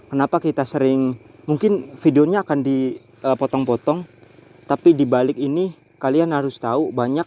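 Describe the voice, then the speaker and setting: A man's fairly high voice at a moderate pace, with a dry, close sound and no echo. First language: Javanese (speaking Indonesian). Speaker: horror vlogger. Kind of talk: night ghost-hunting vlog. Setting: outdoors on a bridge at night.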